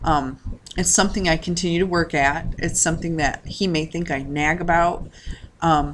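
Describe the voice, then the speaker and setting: A woman's fairly low voice moves at a moderate pace. Her intonation stays fairly even, with noticeable background noise behind. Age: 30s. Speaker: personal finance vlogger. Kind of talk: casual vlog monologue. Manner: halting with many fillers.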